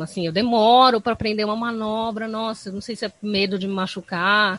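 A woman's ordinary speaking voice, fairly high in pitch, at a fairly quick pace. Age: 30s. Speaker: skateboarder and psychologist. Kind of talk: podcast interview.

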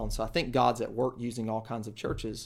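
A man in a Southern US accent talks at a very fast pace with a medium pitch and monotone, flat intonation. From eastern North Carolina (Kinston). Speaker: church planter, former campus ministry director. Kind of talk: interview testimony.

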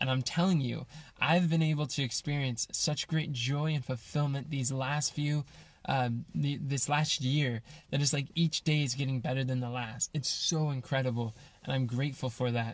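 Somewhat breathy, a man speaks at a fairly high pitch and moderate pace, with very even loudness and fairly even intonation. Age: 20s. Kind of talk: personal reflection monologue. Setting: in a van.

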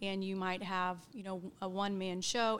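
With an American accent, a woman has a plain, everyday voice at a medium pitch and moderate pace on a very clean recording with a silent background. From Oklahoma, US (Edmond). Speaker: employee benefits director. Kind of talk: interview.

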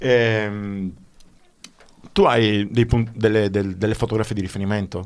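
A man speaks at a very slow pace with long, frequent pauses. His fairly low voice has monotone, flat intonation. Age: 50s. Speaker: radio host. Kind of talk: radio interview. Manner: halting.

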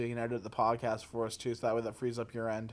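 The man's words come out very fast. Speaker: podcast co-host. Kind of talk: casual chat.

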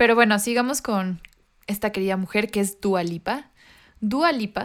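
A woman talks in a normal speaking voice at a moderate pace, her pitch varying in an ordinary way. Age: 20s. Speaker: podcast co-host. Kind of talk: casual chat. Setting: video call.

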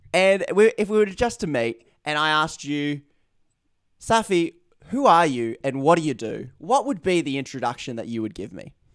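With an Australian accent, a man talks at a moderate pace and a fairly high pitch, swinging very widely in pitch, in a very clean recording with a silent background. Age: 30s. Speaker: podcast host. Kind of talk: podcast interview.

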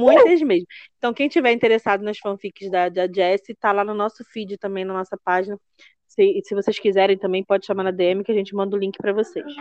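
A woman talks at a fairly quick pace in a plain, everyday voice. Her pitch is medium with ordinary variation, and the sound is dry and close with no echo. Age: 40s. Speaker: podcast host. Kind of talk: casual chat.

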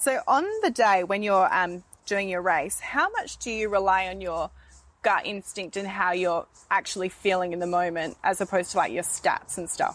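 With ordinary pitch variation, a plain, everyday voice proceeds at a moderate pace. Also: woman, medium pitch for a woman. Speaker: podcast host. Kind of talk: interview. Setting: outdoors.

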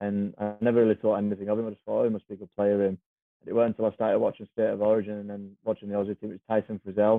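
Very fast, monotone speech with flat intonation and big swings in loudness, over music in the background. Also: man. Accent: Cumbrian. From Cumbria, northern England. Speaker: professional rugby league player. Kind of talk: casual chat. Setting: podcast interview.

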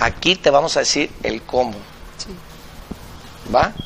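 An animated man with a fairly high pitch speaks with lively intonation. Noticeable background noise can be heard. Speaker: business coach and live-stream host. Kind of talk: live-streamed interview show. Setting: café.

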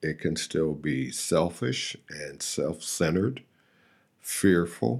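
A man with a very deep, low pitch and vocal fry speaks very slowly, his intonation lively. The recording is very clean, with a silent background. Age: 60s. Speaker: AA speaker sharing recovery story. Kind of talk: testimony. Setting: studio.

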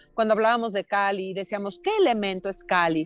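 This woman has an unremarkable speaking voice. Her pitch sits in the medium range. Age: 50s. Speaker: yoga teacher and choreographer. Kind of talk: casual conversation. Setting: walking outdoors on a city street, remote call.

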